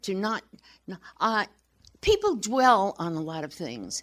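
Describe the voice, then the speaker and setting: The recording is very clean, with a silent background. The intonation is lively. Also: woman. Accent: American. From New York. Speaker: actress. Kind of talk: interview answer.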